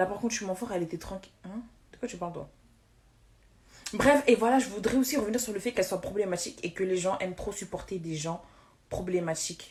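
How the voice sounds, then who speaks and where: A woman's medium-pitched voice at a fairly quick pace, with ordinary pitch variation, big swings in loudness, and long, frequent pauses. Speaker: social media influencer. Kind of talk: livestream rant. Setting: live stream. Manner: fast; halting, repeating words.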